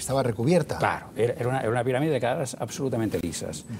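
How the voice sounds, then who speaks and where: Over light background noise, a man talks very fast in a dark, mellow tone that is somewhat breathy. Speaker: guest. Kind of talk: interview answer. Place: studio. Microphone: lapel.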